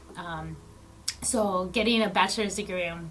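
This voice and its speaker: Amid noticeable background noise and audible room echo, a woman speaks at a moderate pace and medium pitch with fairly even intonation. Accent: American. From South Texas. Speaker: social worker. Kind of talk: interview. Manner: hesitant, many um fillers.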